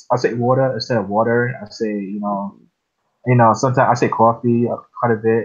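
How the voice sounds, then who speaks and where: Talking at a fairly quick pace, a man with a slight New York accent keeps a monotone, flat intonation. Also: medium pitch for a man. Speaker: podcast host. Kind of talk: casual chat.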